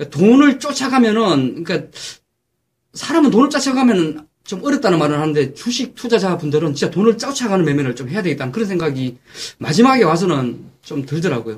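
A man's high-pitched voice, fairly quick, with very wide pitch swings. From Gyeongsang, South Korea. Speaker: stock market commentator. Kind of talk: casual chat. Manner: loud.

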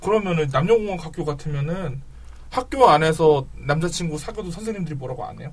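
Over noticeable background noise and audible room echo, a man speaks very fast at a fairly high pitch, with ordinary pitch variation and big swings in loudness. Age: 30s. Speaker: podcast host. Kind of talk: casual chat.

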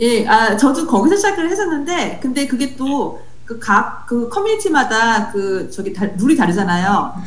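A woman with a high pitch talks at a moderate pace, with very wide pitch swings and hardly any pauses. Noticeable background noise is present. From South Africa. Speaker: software developer. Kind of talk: casual interview.

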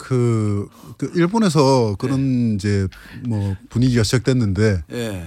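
The voice moves at a very slow pace, with a dark, mellow tone and ordinary pitch variation. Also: man. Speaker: mixed martial arts fighter. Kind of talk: interview. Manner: calm.

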